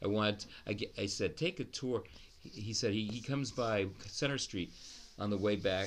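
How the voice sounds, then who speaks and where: A man with an American accent talks at a fairly low pitch with ordinary pitch variation. Audible echo fills the room. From US Northeast, Newton, Massachusetts (Boston area). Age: 60s. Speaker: oral history interviewee. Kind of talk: oral history interview. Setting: law library at city hall. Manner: halting, with many restarts.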